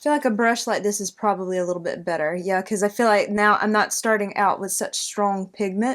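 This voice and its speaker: Speaking with a Southern US accent, this voice moves at a fairly quick pace. Its pitch varies in an ordinary way. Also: woman. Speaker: beauty YouTuber. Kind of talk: makeup tutorial. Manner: casual, chatty.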